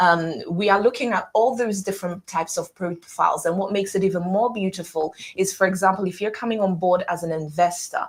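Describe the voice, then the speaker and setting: With a British accent, a woman of medium pitch and ordinary pitch variation talks at a fairly quick pace with hardly any pauses. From UK. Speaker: property developer representative. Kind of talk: interview. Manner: fluent, persuasive.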